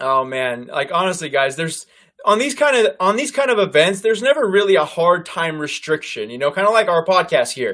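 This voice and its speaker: A man's bright, sharp voice, loud and pitched high for a man. He talks at a fairly quick pace with very wide swings in pitch. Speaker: political commentary host. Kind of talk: live stream commentary. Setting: live online stream.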